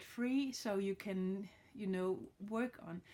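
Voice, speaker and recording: A woman with a Danish accent speaks at a very slow pace in a dark, mellow tone, keeping her intonation fairly even. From Denmark. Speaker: card reader. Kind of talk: tarot reading tutorial. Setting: home with dog. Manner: halting, many fillers. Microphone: phone near.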